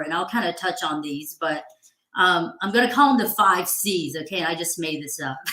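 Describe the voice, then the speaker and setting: A woman talks with a slight Southern US accent. Her intonation is lively and her pace moderate. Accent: slight Southern twang. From Georgia, US South. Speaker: HR professional. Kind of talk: interview advice talk.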